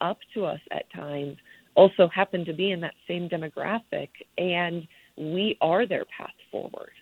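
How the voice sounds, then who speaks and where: A woman with an American accent talks in an unremarkable speaking voice, pitched fairly low, with fairly even intonation. Her loudness swings widely. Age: 30s. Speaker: Paralympic swimmer. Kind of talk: interview.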